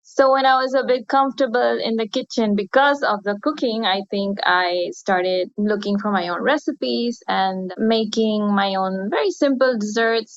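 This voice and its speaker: In a Spanish accent, a woman speaks at a moderate pace in a medium pitch with ordinary pitch variation. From Chile. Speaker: baker. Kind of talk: podcast interview.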